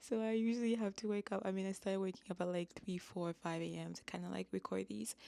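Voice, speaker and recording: A soft-spoken woman, very fast and with hardly any pauses, in a dry, close sound with no echo. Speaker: astrologer. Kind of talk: casual talk to camera about astrology. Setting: recording at a family home. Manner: soft-spoken, low voice; mellow.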